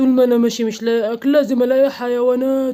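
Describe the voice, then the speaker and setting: Here is a cartoonish character voice pitched fairly high. It moves at a fairly quick pace with monotone, flat intonation. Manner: greedy, mocking.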